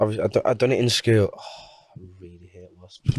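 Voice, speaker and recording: On a very clean recording with a silent background, a man with a northern English accent talks at a moderate pace with a fairly low pitch. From Portugal, raised in Carlisle. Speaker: singer and busker. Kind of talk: interview answer. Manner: casual, chatty.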